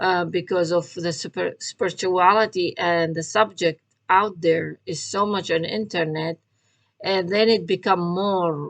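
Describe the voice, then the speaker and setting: The speech moves at a very slow pace. Its intonation is fairly even. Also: woman, dry, close sound with no echo. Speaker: tarot reader and spiritual vlogger. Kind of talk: casual monologue vlog. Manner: halting, many fillers.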